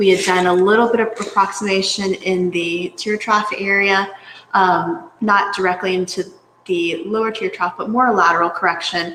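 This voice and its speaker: The pace here is moderate. Intonation remains fairly even throughout. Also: woman, medium pitch for a woman. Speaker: physician associate injector. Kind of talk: live webinar Q&A. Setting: live virtual event. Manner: gentle.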